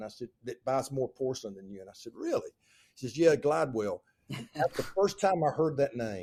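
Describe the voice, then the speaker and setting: A strong Southern US accent in a dark, mellow tone, fairly quick, with very wide pitch swings and a dry, close sound with no echo. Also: man. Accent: thick Southern US. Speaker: dental lab technician. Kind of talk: podcast interview answer. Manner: humorous storyteller.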